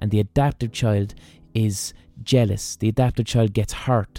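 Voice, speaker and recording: A man with an Irish accent speaks at a fairly low pitch in a dark, mellow tone with fairly even intonation, recorded dry and close with no echo, very clean against a silent background. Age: 30s. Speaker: podcast host. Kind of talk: monologue. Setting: studio.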